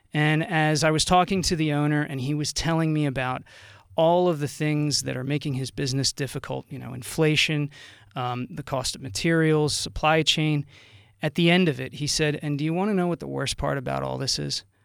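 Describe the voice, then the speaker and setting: Heard on a very clean recording with a silent background, a man with an American accent talks at a fairly quick pace, his pitch fairly high and his intonation fairly even. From South Jersey, Burlington County. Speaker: congressional candidate. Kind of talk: political interview.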